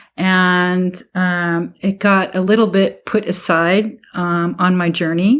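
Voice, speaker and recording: With a Californian accent, a woman talks at a very slow pace with a medium pitch, fairly even intonation and very even loudness. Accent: Californian American English. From Southern California. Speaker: foot health coach. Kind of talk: interview conversation. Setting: podcast recording.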